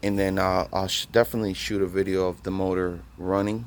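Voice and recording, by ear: A man speaks with a low pitch. There is little pitch movement.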